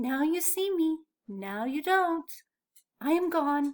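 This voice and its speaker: A squeaky, put-on character voice at a fairly slow pace. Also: woman, extremely high pitch for a woman. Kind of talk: bedtime story. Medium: read story.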